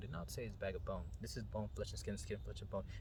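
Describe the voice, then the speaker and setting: A man's voice over noticeable background noise. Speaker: meditation guide. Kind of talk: spiritual talk. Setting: outdoors. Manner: whispered, soft-spoken.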